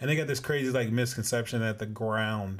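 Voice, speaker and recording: This man's voice sits fairly low in pitch. He speaks with an American accent. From California. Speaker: podcast host. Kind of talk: casual monologue. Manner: casual, filler-heavy.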